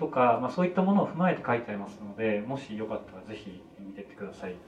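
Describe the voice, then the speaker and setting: A man is speaking with noticeable background noise. Room echo can be heard. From Kanto, Japan. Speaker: film director. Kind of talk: casual chat.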